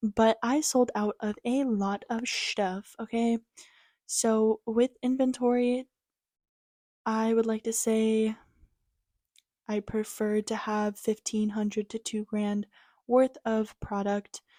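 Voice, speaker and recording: Quiet and very slow, a woman speaks at a fairly high pitch in a monotone, flat delivery with a dark, mellow tone and long, frequent pauses, the sound dry and close with no echo on a very clean recording with a silent background. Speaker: crochet content creator and small business owner. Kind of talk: casual vlog. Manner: quiet, hushed.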